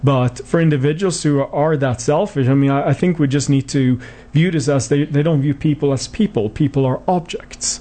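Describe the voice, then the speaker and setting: A man with a Swedish accent speaks at a fairly high pitch, keeping his loudness very even and hardly pausing. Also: ordinary pitch variation, fairly quick pace. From Sweden. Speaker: clinical psychology professor. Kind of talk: radio interview. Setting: studio.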